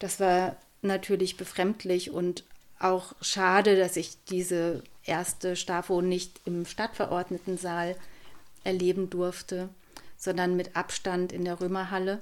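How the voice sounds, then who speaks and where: A woman's monotone, flat delivery at a very slow pace. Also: medium pitch for a woman. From Lower Saxony, Germany (near former inner-German border). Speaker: local politician. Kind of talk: interview. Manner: hesitant, many filler sounds.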